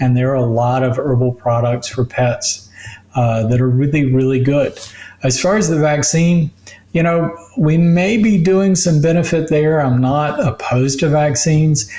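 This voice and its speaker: Noticeable background noise sits under a man talking at a moderate pace with a fairly high pitch, ordinary pitch variation and very even loudness. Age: 60s. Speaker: physician. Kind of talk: interview.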